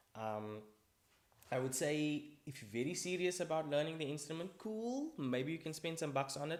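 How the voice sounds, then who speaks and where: A man with an ordinary speaking voice, a fairly high pitch and lively intonation. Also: moderate pace. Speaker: vlogger. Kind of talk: casual vlog monologue. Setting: recording alone to camera.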